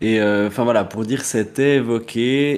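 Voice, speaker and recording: A man speaks at a fairly slow pace and medium pitch with fairly even intonation, in a plain, everyday voice. The recording is very clean, with a silent background. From Neuchâtel, Switzerland. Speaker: drag queen podcast co-host. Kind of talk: casual chat.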